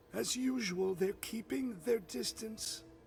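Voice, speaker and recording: A man uses a put-on character voice, pitched high, at a fairly slow pace. Background noise is clearly audible. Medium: video game. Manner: blunt, weary.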